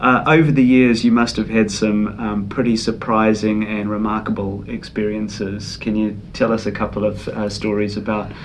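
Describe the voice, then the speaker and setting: With hardly any pauses, a man speaks in a fairly low pitch and monotone, flat intonation over noticeable background noise and audible room echo. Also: moderate pace. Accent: New Zealand. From New Zealand. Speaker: podcast host. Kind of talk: interview.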